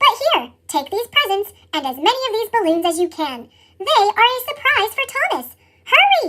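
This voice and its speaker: A woman uses a put-on character voice, squeaky and extremely high-pitched. Her pitch swings very widely at a moderate pace. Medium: read story.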